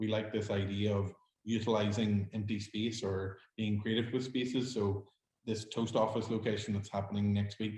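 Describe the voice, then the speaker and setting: In a Northern Irish accent, a man talks with a fairly low pitch and a dark, mellow tone that is somewhat breathy. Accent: Derry Northern Irish. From Northern Ireland, Derry. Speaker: hospitality startup founder. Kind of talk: pitch Q&A.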